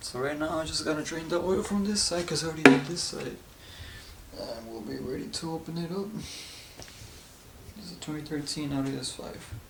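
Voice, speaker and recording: Over noticeable background noise and audible room echo, a man speaks at a fairly high pitch with ordinary pitch variation and big swings in loudness. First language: not English. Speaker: amateur mechanic, DIY video maker. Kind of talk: tutorial. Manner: halting, self-correcting.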